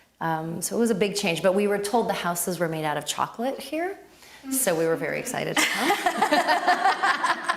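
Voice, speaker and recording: A woman speaks with an American accent. Noticeable background noise sits behind her voice. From US (Miami), born in Lebanon. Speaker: yoga teacher. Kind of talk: interview. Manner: conversational, some hesitation.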